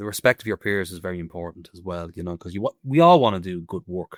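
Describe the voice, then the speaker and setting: A man with an Irish accent speaks fairly quickly at a very deep, low pitch, his loudness swinging widely. The recording is very clean, with a silent background. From Ireland. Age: 30s. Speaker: stone carver. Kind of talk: casual chat.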